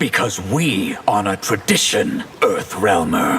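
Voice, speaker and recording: A man puts on a growling, cartoonish character voice at a fairly slow pace. Background noise is clearly audible. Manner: grand, self-important.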